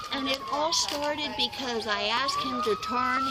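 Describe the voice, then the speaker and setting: Projecting her voice, a woman speaks at a high pitch with ordinary pitch variation, with audible room echo and noticeable background noise. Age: 60s. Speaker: neighbor in a dispute. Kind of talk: complaint to police.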